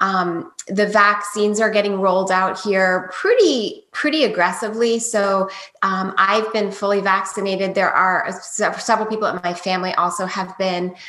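Speaking in an American accent, a woman of medium pitch talks at a moderate pace with fairly even intonation and hardly any pauses over noticeable background noise. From US Maryland. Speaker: dog trainer. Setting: video call.

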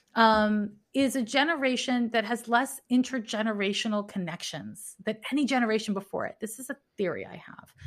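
Heard on a very clean recording with a silent background, a plain, everyday voice carries ordinary pitch variation. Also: woman. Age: 40s. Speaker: astrologer and animal communicator. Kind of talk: casual interview conversation.

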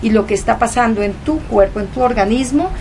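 Her voice sits fairly high in pitch as this woman talks. Behind her, background noise is noticeable. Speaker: guest, leukemia survivor. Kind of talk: reflective conversation. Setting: home.

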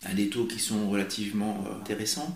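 Fairly slow pace with audible room echo. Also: man. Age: 30s. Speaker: teacher and property investor. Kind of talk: interview. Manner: halting.

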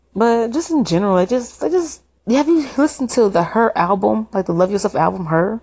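Somewhat breathy and animated, a woman speaks at a moderate pace with an enthusiastic tone and very wide pitch swings. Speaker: BTS fan vlogger. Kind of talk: casual opinion monologue. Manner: animated, enthusiastic fan talk.

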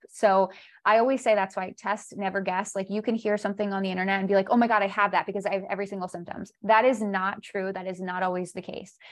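Her pitch is medium and her intonation fairly even. The woman has an unremarkable speaking voice over a quiet background. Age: 30s. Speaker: holistic health coach. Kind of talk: casual chat.

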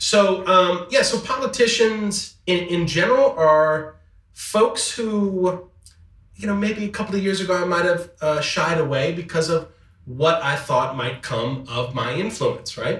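Lively intonation marks speech delivered at a fairly slow pace. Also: man, high pitch for a man. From Metairie, Louisiana. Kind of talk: casual chat.

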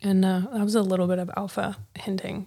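A woman with an American accent speaks at a medium pitch and a moderate pace. Hers is a plain, everyday voice. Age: 30s. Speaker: podcast host. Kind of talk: casual interview. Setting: live audio chat room.

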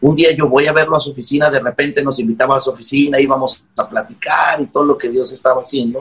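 Using a normal speaking voice, a man talks at a fairly quick pace in a fairly high pitch. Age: 40s. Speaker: pastor. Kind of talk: interview.

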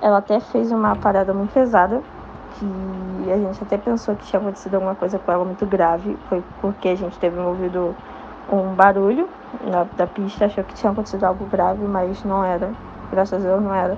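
A woman at medium pitch and a fairly quick pace, with noticeable background noise. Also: fairly even intonation. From Rio de Janeiro. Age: young. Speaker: listener. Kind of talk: testimony.

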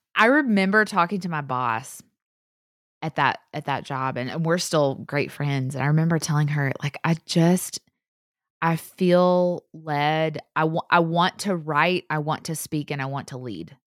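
At a fairly slow pace, a woman with a Southern US accent speaks at a very deep, low pitch with ordinary pitch variation, in a dry, close, echo-free recording that is very clean with a silent background. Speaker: podcaster, author and speaker. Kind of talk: casual interview chat. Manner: animated.

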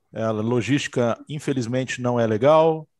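A man speaks in a plain, everyday voice at medium pitch and a fairly slow pace, with ordinary pitch variation. The background is quiet and the sound is dry and close, with no echo. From interior of São Paulo state, Brazil. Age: 40s. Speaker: security equipment distributor executive. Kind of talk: casual chat. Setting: video call.

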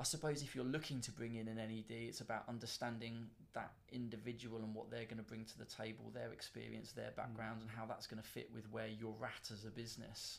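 Vocal fry marks this man's voice. He talks at a moderate pace. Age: 40s. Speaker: recruitment entrepreneur and investor. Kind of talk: interview.

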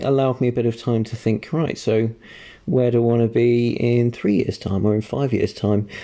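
In a very clean recording with a silent background, a man with an English accent speaks at a moderate pace and a medium pitch, his tone dark and mellow and his intonation fairly even. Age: 20s. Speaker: podcast co-host. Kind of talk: casual chat.

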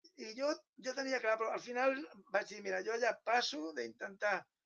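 A man's bright, sharp tone at a moderate pace. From Catalonia (Penedès). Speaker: writer. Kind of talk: interview conversation.

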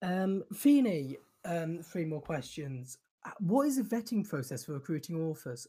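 A man with a British accent speaks fairly slowly in a high, dark, mellow voice. His pitch swings very widely on a very clean recording with a silent background. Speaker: podcast host. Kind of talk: Q&A session answering listener questions. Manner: casual, filler-heavy with frequent ums.

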